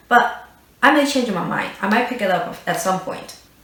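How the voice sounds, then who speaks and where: Very wide pitch swings at a moderate pace, with audible room echo and noticeable background noise. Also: woman. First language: not English. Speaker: beauty youtuber. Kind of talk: product review. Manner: hesitant with fillers.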